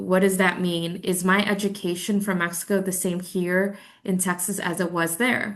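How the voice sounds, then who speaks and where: A woman's medium-pitched voice in a Spanish accent, with monotone, flat intonation and audible room echo. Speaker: credential evaluation presenter. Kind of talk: webinar presentation. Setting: online webinar. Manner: casual, conversational.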